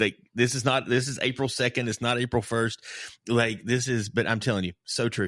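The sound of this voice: An unforced reading voice keeps fairly even intonation over a quiet background.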